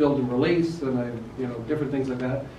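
Audible room echo and light background noise surround a man's voice. He talks at a fairly quick pace with fairly even intonation. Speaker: presenter. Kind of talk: technical talk to a live audience. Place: meeting room. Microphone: camera far.

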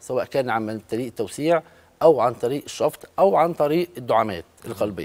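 With lively intonation, a man speaks at a moderate pace. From Egypt. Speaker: cardiologist; guest. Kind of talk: medical interview. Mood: calm, explanatory. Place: studio. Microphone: lapel.

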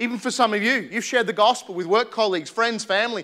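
A man's raised, projected voice, bright and sharp in tone, over a quiet background. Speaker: preacher. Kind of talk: sermon. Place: church. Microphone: lapel.

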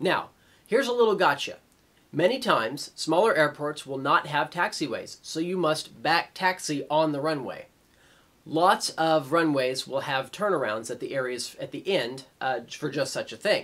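A man at a moderate pace, with lively intonation. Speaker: flight instructor presenter. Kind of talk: tutorial.

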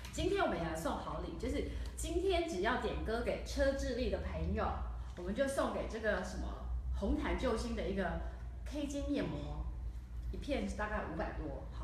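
A woman talks at a moderate pace. Light background noise and audible room echo come through. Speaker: talk show host. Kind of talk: casual interview. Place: studio.

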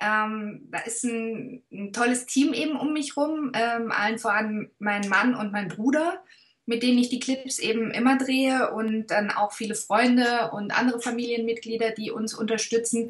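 A woman at a fairly slow pace, with fairly even intonation, over a quiet background. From Swabia, southern Germany. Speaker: actress. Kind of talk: interview answer. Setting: video call. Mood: warm, thoughtful. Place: home room.

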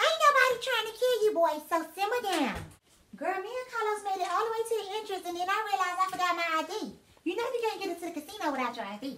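A woman's put-on character voice, extremely high-pitched, very fast and lively in intonation, over light background noise. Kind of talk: comedic sketch acting. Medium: comedy sketch. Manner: blunt, sassy, slangy. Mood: sassy, dismissive.

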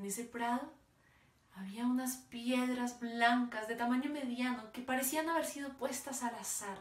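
A woman speaks at a high pitch with fairly even intonation and a fairly slow pace. Room echo is audible. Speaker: oral storyteller. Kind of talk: dramatic oral storytelling performance of a parable. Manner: slow, vivid descriptive pacing lingering on imagery; emotive, building to sorrowful intensity. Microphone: phone near.

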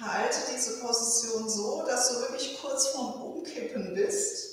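Words come at a very slow pace with ordinary pitch variation, wrapped in strong room echo. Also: woman. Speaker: fitness instructor. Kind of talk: exercise class instructions. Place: home room. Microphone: camera far.

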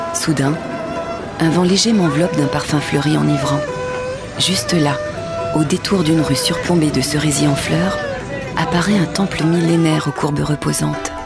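Against clear music in the background and with a dry sound with no echo, a woman speaks at a moderate pace, leaving long, frequent pauses. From France. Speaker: voice actor. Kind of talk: narration. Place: booth. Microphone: studio mic.

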